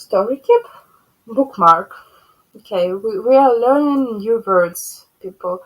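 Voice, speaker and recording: Speech comes very slowly in a Ukrainian accent, with long, frequent pauses. Pitch variation is ordinary. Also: woman, fairly high pitch for a woman. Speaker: cross-stitch vlogger. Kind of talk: casual show-and-tell vlog. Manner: halting.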